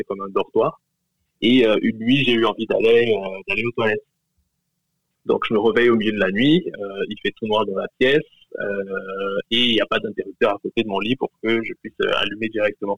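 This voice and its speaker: A man speaks at a fairly quick pace but leaves long, frequent pauses. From Cameroon. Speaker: listener sharing a story. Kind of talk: testimony.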